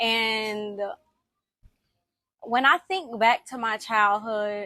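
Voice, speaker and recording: At a very slow pace, a woman with a slight Southern US accent speaks in a bright, sharp tone, fairly high-pitched, with ordinary pitch variation. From US South, Alabama then Miami. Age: 20s. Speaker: personal vlogger. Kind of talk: personal testimony. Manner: conversational with fillers.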